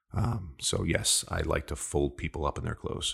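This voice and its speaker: A man talks at a moderate pace. His pitch is very deep and low, with vocal fry. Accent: American. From upstate New York, Hudson Valley. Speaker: sales leader. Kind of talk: interview. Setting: studio.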